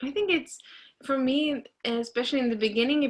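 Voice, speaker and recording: With a Norwegian accent, a woman speaks in a bright, sharp tone with ordinary pitch variation on a very clean recording with a silent background. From Norway. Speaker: trumpeter. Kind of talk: interview. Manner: halting.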